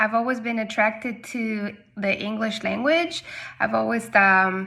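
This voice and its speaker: In a Spanish accent, a woman with a fairly high pitch and a bright, sharp tone speaks at a fairly slow pace. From Argentina, Patagonia. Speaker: English teacher. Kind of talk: personal testimony. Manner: casual, with frequent hesitations.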